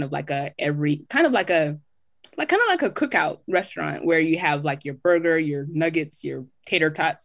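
A woman speaks in a very deep, low voice. The recording is very clean, with a silent background. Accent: American. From Southern California (Riverside), Jamaican family. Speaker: podcast guest, home cook. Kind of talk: casual chat.

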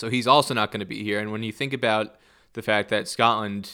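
A man with an American accent speaks at a moderate pace, his fairly low voice bright and sharp in tone with vocal fry. The recording is very clean, with a silent background. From US Northeast, New Jersey. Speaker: cricket journalist. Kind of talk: casual interview. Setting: scorer's box at a cricket ground.

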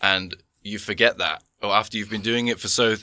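Speaking with an English accent, a man uses a bright, sharp tone at a medium pitch and a moderate pace. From England. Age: 20s. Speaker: tandem instructor and skydiver. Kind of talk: casual chat.

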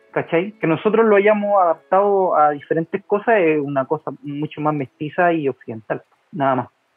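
A man with a Chilean accent speaks at a high pitch. His pace is moderate, with ordinary pitch variation. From Chile, Quilpué (Valparaíso region). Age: 30s. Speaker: naturopathic doctor. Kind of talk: casual chat.

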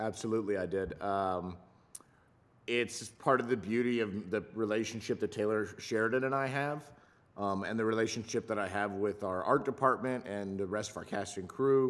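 A man with an American accent in a normal speaking voice, fairly low in pitch with ordinary pitch variation, at a moderate pace on a very clean recording with a silent background. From Southern California. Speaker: chef for film and TV sets. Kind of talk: casual chat.

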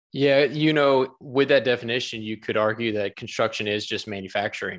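Against a quiet background, a man with an unremarkable speaking voice talks at a moderate pace with fairly even intonation. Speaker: podcast host. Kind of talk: casual interview chat.

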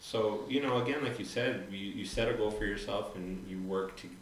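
A man with a fairly low pitch talks in fairly even intonation, with audible room echo and noticeable background noise. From Santa Fe, New Mexico. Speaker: photographer and radio DJ. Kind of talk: casual chat.

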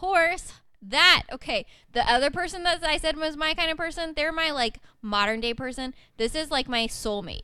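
Raising and projecting her voice, a woman speaks at a moderate pace with a high pitch and lively intonation. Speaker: guest and host's wife. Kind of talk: casual chat.

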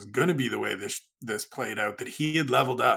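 A man speaks with ordinary pitch variation, vocal fry, and a bright, sharp tone. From Canada, Niagara region. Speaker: MMA writer and podcaster. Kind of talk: casual chat.

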